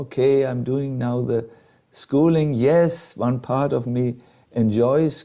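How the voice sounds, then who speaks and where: A man with a slight German accent speaks at a fairly slow pace in a medium pitch, his dark, mellow tone carried by fairly even intonation. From Germany. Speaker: monk and spiritual teacher. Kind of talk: storytelling talk to a live group. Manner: hesitant, many fillers.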